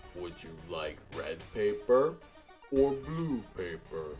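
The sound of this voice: A put-on character voice at a very slow pace, with very wide pitch swings over clear music in the background. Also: man, fairly low pitch for a man.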